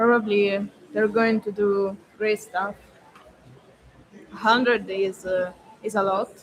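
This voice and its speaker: Marked by a non-native accent, the speech moves at a fairly slow pace with long, frequent pauses against noticeable background noise. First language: not English. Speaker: freediving athlete. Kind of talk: interview. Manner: halting.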